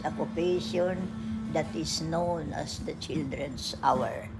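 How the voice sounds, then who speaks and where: There is music in the background. A woman talks at a very slow pace in a fairly low pitch. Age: 80s+. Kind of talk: poetry reading.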